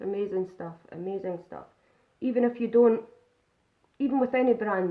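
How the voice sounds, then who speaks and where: A woman's fairly high voice with a Scottish accent at a moderate pace, ordinary pitch variation, and big swings in loudness. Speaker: makeup vlogger. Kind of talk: live makeup tutorial. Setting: live stream. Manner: casual, chatty.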